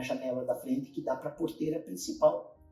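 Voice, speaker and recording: Music playing behind a man talking at a moderate pace. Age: 60s. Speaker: pastor. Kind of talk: testimony.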